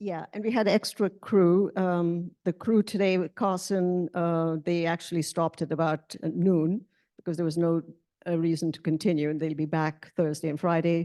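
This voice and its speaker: A woman speaks in a fairly low, dark, mellow voice with fairly even intonation, the sound dry and close with no echo against a quiet background. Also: moderate pace. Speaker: board chair running the meeting. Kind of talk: board meeting report. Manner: halting, many fillers.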